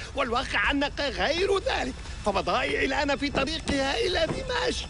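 A man puts on a character voice that is whiny, with a pompous, whiny tone, raised and projected at a moderate pace. Loud music plays in the background. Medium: cartoon. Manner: pompous, whiny, demanding.

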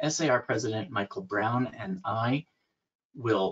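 A man speaks at a very slow pace. His voice is somewhat breathy. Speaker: webinar host. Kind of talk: event introduction. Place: home room. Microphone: webcam.

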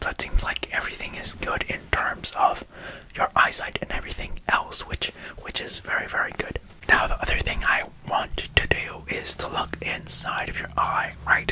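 The speaker whispers. He is a man and keeps to a moderate pace. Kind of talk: ASMR eye-exam roleplay. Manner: soft close ASMR speaking.

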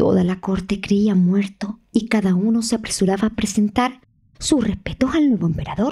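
This woman has a dark, mellow tone that is also dramatic and warm, somewhat breathy, with medium pitch, ordinary pitch variation and very even loudness. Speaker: storyteller narrator. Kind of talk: audiobook fairy-tale narration. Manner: slow, hushed and dramatic, building suspense as the emperor lies dying; storyteller's tone, warm and expressive, voicing the characters.

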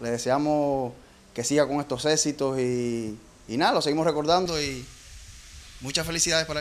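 Moderate speed from a male speaker, pitch rising and falling in the usual way. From eastern Cuba. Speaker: childhood friend and former dancer. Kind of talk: testimony. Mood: warm, nostalgic, proud. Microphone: handheld.

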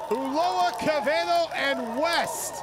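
Amid noticeable background noise, a man speaks with an energetic tone. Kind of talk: live baseball commentary highlights. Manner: clipped, energetic delivery.

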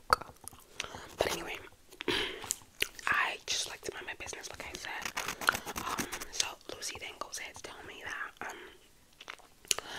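Whispering at a very slow pace with long, frequent pauses, a woman shifts widely in loudness against noticeable background noise. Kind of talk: ASMR roleplay, whispered gossip to camera. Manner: whispered, chatty, gossipy.

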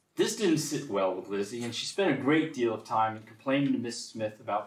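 Audible room echo surrounds a man's voice. He talks at a fairly quick pace with hardly any pauses and ordinary pitch variation. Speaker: presenter. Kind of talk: lecture. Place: meeting room. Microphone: camera far.

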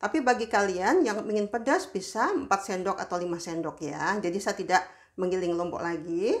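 A woman's voice, with ordinary pitch variation, moves at a moderate pace against a quiet background. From West Sumatra (Padang, Minangkabau); West Sumatra. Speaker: home cooking vlogger. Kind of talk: cooking tutorial. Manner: casual, chatty. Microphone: phone near.

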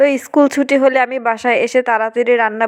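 A woman talks in a monotone with flat intonation. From Barisal, Bangladesh. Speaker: cooking vlogger. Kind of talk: vlog narration. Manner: stumbling.

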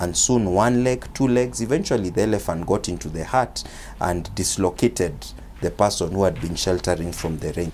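Speaking at a moderate pace with a Kenyan accent, a man uses a very deep, low voice with vocal fry. His pitch swings very widely, and light background noise can be heard. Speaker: lawyer. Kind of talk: interview. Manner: formal. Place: street. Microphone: handheld.

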